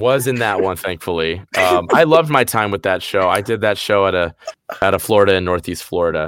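A man's fairly low voice, fairly quick, with ordinary pitch variation. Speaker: voice actor. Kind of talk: casual interview chat. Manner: animated, jokey, rambling.

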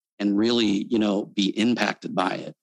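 Using a plain, everyday voice, a man with an American accent talks at a moderate pace with fairly even intonation, in a dry, close sound with no echo. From Texas. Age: 40s. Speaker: marketing entrepreneur and pastor. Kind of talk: casual interview chat.

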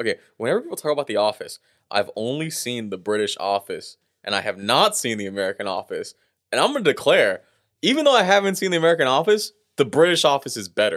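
Against a silent background in a very clean recording, a man speaks at a very fast pace with a dry, close sound and no echo. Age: 20s. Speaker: comedian. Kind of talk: casual chat.

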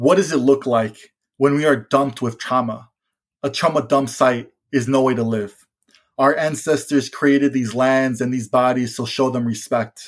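A man with a normal speaking voice talks at a medium pitch and a fairly slow pace, with fairly even intonation, in a very clean recording with a silent background. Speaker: environmental and youth organizer. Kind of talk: casual chat.

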